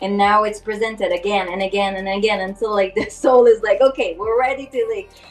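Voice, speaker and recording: With music playing behind her, a woman talks at a fairly quick pace with hardly any pauses, her fairly high voice fairly even in intonation. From Quebec City, Canada. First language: French. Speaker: spiritual healer. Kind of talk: interview.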